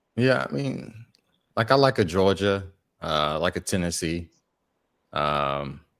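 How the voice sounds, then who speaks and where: A man with an American accent and a very deep, low pitch speaks at a fairly slow pace with lively intonation. He leaves long, frequent pauses in a very clean recording with a silent background. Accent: said to sound Southern. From US Midwest, Chicago. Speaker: podcast host. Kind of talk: casual chat.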